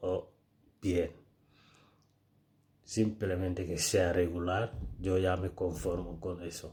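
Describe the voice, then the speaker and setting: Speaking at a very slow pace with a Senegalese accent, a man uses a very deep, low pitch, a dark, mellow tone, somewhat breathy delivery and monotone, flat intonation. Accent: West African (Senegalese) accent in Spanish. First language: Pular (Fulfulde) (speaking Spanish). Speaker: social media creator. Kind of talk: casual vlog monologue.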